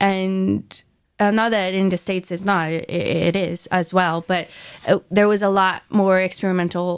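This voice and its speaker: A woman with a Portuguese accent speaks at a moderate pace in a medium pitch, her intonation monotone and flat, against a quiet background. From Brazil, São Paulo. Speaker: museum curator. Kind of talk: interview. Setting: radio studio.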